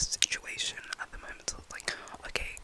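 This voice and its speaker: There is whispering. Background noise is noticeable throughout. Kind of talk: ASMR rambling talk to camera. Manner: whispered.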